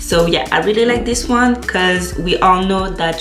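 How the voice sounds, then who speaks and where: A woman with a non-native accent speaks at a fairly slow pace. Music plays in the background, and the room echo is audible. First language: not English. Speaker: beauty vlogger. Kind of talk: tutorial. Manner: halting, with frequent fillers.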